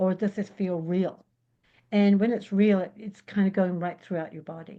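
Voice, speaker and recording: Against a quiet background, a woman with an English accent speaks at medium pitch and a moderate pace, her tone dark and mellow and her intonation flat and monotone. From England. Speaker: intuitive spiritual healer. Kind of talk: podcast interview answer.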